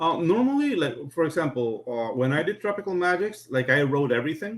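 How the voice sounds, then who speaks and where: Fairly high-pitched male voice at a fairly quick pace, with very wide pitch swings. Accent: non-native. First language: not English. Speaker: comic book artist. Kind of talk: casual chat.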